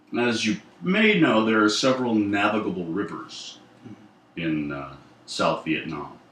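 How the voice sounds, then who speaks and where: Over noticeable background noise and audible room echo, a man with a fairly low pitch speaks at a fairly slow pace with very wide pitch swings and long, frequent pauses. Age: 60s. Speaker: war veteran. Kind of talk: oral history interview. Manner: halting.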